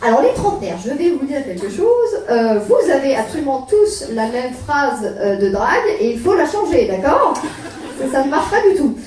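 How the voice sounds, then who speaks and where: Her pitch is high for a woman and swings very widely, at a moderate pace. Noticeable background noise and audible room echo surround this woman. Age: 20s. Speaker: stand-up comedian. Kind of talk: stand-up. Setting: stage with audience. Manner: hesitant. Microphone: poor recording quality.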